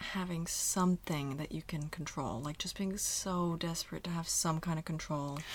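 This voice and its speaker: At a moderate pace and with hardly any pauses, a woman speaks at a fairly low pitch in a somewhat breathy voice, captured in a very clean recording with a silent background. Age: 30s. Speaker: actress and comedian. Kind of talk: casual chat. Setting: studio. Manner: animated.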